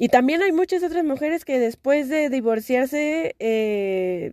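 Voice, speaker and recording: Her tone is dark and mellow as this woman speaks at a fairly slow pace. The sound is dry and close, with no echo. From Mexico, Xalapa, Veracruz. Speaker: podcast host, LGBT activist. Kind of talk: personal monologue podcast. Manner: casual, filler-heavy speech.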